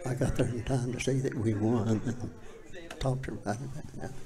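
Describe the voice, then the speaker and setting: With an Appalachian accent, a man speaks at a fairly quick pace and a medium pitch with fairly even intonation. Audible room echo and noticeable background noise accompany him. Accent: Southern US, Appalachian. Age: 80s+. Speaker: former high school football player. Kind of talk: casual interview. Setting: live show in a public venue.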